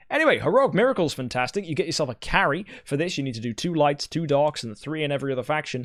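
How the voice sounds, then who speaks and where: A man at a very fast pace with hardly any pauses, fairly high in pitch, animated in tone with ordinary pitch variation, on a very clean recording with a silent background. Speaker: gaming YouTuber. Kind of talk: game event review.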